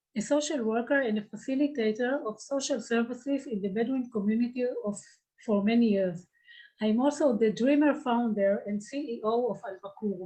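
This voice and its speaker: A woman with an Israeli accent and a dark, mellow tone at fairly high pitch, with a moderate pace and ordinary pitch variation. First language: Hebrew. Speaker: social worker and nonprofit founder. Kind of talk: grant presentation, partly read. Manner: halting.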